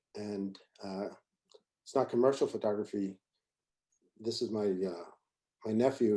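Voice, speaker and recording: A man with an American accent, fairly even intonation and a dark, mellow tone. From Pennsylvania (Reading). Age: 60s. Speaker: photographer. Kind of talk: lecture. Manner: fast; halting, many fillers.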